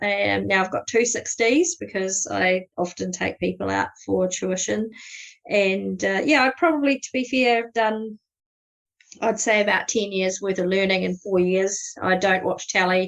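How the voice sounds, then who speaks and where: Speech in a New Zealand accent moves at a fairly slow pace. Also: woman. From New Zealand, South Canterbury. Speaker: astrophotography guide. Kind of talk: podcast interview. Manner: casual, many fillers.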